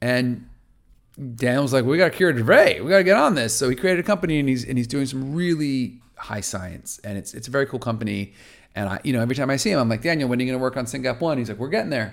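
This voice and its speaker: An animated man with lively intonation at a very fast pace, on a very clean recording with a silent background. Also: medium pitch for a man. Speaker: podcast host and patient advocacy leader. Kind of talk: weekly news briefing monologue.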